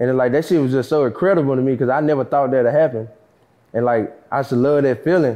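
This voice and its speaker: This man talks at a very fast pace with an American accent and medium pitch. His loudness is very even, and his pitch varies in an ordinary way. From Dallas, Texas (North Dallas). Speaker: rapper, recently released from prison. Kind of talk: casual interview.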